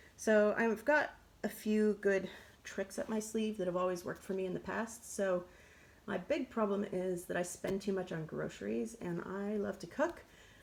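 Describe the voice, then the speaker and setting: A woman in an American accent, medium pitch, ordinary pitch variation, and a moderate pace, with noticeable background noise. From United States. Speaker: budget and meal-planning vlogger. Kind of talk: casual vlog talk. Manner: chatty, with many fillers (um, like).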